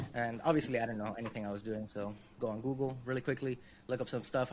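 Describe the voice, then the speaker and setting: Words come very fast. The pitch rises and falls in an ordinary way. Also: man. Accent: Spanish. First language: Spanish. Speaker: UX designer, consultancy founder. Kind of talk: interview, career story. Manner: casual, many fillers.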